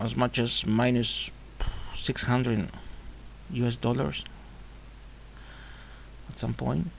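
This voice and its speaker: A man with a non-native accent, talking very slowly with long, frequent pauses. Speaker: forex trader. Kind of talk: screen-recorded trading tutorial.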